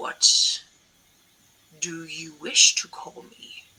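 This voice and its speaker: A put-on character voice with a raspy edge. The pitch sits in the middle range. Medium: actual play. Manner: imperious, commanding.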